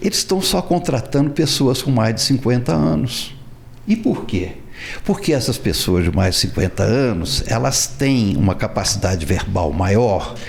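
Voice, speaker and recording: Over noticeable background noise, a man talks at a fairly slow pace and medium pitch, his pitch swinging very widely while his loudness stays very even. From Minas Gerais, Brazil. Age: 70s. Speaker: writer. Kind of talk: interview answer.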